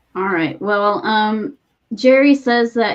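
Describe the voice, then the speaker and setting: Very slowly, a woman speaks, her pitch varying in an ordinary way. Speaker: podcast co-host. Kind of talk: casual chat.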